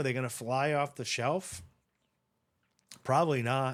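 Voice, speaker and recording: A man with a New England accent at a moderate pace, in a very clean recording with a silent background. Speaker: online seller and video creator. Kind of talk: screen-share tutorial. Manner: casual, repetitive with verbal restarts.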